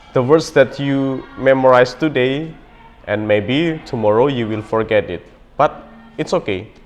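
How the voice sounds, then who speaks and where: A man's medium-pitched voice at a fairly slow pace, with music playing in the background. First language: not English. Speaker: language learning vlogger. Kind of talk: motivational talk to camera. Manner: hesitant with many fillers.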